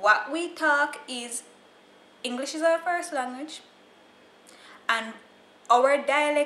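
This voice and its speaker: In a Jamaican accent, a woman speaks at a fairly slow pace in a high pitch with ordinary pitch variation. Noticeable background noise is present. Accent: Jamaican, with Creole features. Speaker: YouTuber. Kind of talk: casual vlog explaining slang. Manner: animated.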